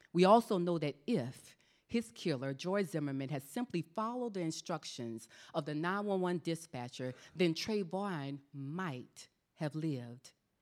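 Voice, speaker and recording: A woman with an American accent speaks at a fairly slow pace, her pitch fairly low. Her intonation is lively, and it's a plain, everyday voice. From US South, South Carolina. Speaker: author and military veteran. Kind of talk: panel conversation; reading aloud from her book. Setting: church stage with audience.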